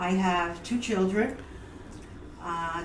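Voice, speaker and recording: There is audible room echo and noticeable background noise as a woman speaks at a medium pitch with ordinary pitch variation. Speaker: local political candidate. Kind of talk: self-introduction. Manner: halting.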